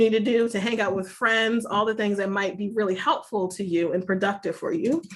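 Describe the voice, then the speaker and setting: In an ordinary speaking voice, a woman speaks at a fairly high pitch and fairly quick pace with ordinary pitch variation. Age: 30s. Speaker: mental health professional. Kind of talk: seminar talk.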